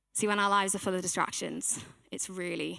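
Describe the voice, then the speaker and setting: This soft-spoken woman has a bright, sharp tone at a medium pitch. She talks at a fairly quick pace. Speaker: church team member giving a sermon. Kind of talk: sermon.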